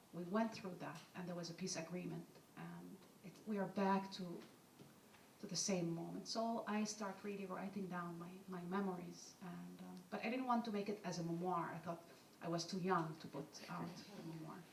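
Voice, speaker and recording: With an Arabic accent, a woman speaks at a moderate pace in a fairly low pitch with fairly even intonation and long, frequent pauses. Audible room echo and noticeable background noise are present. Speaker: author and journalist. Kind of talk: panel discussion, personal account.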